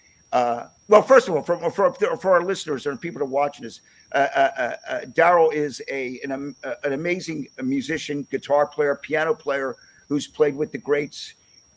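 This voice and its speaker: A man with a Philadelphia accent at a moderate pace, fairly high in pitch with ordinary variation. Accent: Philadelphia American English. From Pennsylvania, Levittown (Philadelphia area). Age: 60s. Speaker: podcast host, rock drummer. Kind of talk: casual interview chat. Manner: halting, many fillers and repeats.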